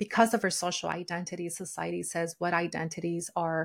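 A fairly low-pitched woman with a Spanish accent at a moderate pace, on a very clean recording with a silent background. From Mexico. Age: 40s. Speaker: sociologist and intuitive eating coach. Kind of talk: interview.

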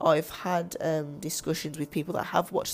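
A woman with a very deep, low pitch talks at a fairly quick pace. Her intonation is fairly even, and vocal fry runs through her voice. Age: 30s. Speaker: podcast host, movie reviewer. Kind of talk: solo podcast monologue, movie discussion. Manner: halting, many fillers.

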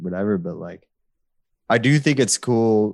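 A man with a plain, everyday voice talks at a fairly low pitch, with ordinary pitch variation, over a quiet background. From US Midwest, Chicago. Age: 30s. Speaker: hardcore band musician. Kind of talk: casual interview chat.

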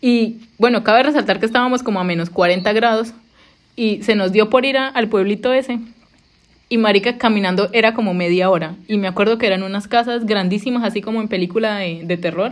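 A woman speaks with a Colombian accent at a fairly quick pace. Her pitch variation is ordinary. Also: fairly high pitch for a woman. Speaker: podcast host, former au pair. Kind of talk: casual chat. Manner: fast.

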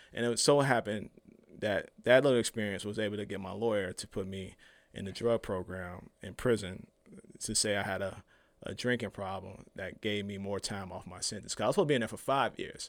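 At a fairly quick pace, a fairly low-pitched man speaks with fairly even intonation and big swings in loudness, on a very clean recording with a silent background. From Chicago, west side. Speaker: activist and former prisoner. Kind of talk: interview.

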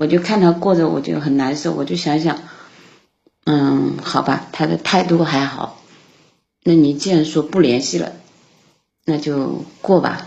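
Marked by vocal fry, the speech moves fairly slowly with long, frequent pauses, ordinary pitch variation and audible room echo. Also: woman, very deep, low pitch for a woman. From Sichuan, China. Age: 40s. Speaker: caller to an advice show. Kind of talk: phone-in call about her marriage.

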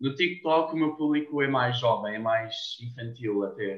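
A man with a medium pitch and fairly even intonation talks very slowly. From Portugal, Cascais. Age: 20s. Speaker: TikToker and university student. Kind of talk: casual interview.

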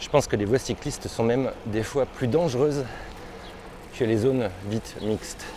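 Speaking at a moderate pace with long, frequent pauses, a man uses a medium-pitched voice with a dark, mellow tone. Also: ordinary pitch variation. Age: 40s. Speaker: podcaster. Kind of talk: casual narration while cycling. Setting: outdoors on an electric bike.

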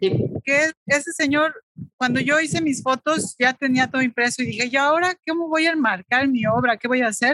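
A woman's high-pitched voice is raised and projected, with very even loudness and ordinary pitch variation. The sound is dry and close, with no echo. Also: moderate pace. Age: 40s. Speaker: photographer. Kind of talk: casual interview.

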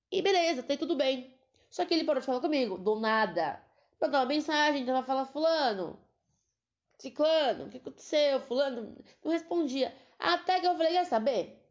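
The woman's pitch is high, her tone animated, and her intonation lively. She keeps a moderate pace with long, frequent pauses. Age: 20s. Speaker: podcaster, veterinary student. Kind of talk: casual monologue.

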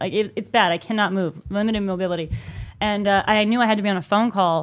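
Talking at a very fast pace, a woman at medium pitch keeps a fairly even intonation on a very clean recording with a silent background. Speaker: podcast co-host. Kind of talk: casual chat.

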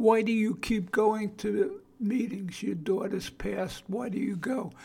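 Speaking with a Brooklyn accent, a man talks fairly slowly at a high pitch with fairly even intonation. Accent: Brooklyn New York. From Brooklyn, New York. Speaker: podcast host on addiction and family. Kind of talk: monologue podcast talk. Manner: informal, not polished.

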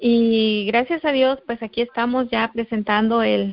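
A woman speaks at a fairly high pitch and a moderate pace. It is an ordinary speaking voice, with fairly even intonation. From Guerrero, Mexico. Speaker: network marketing distributor. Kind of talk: testimony. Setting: conference call.

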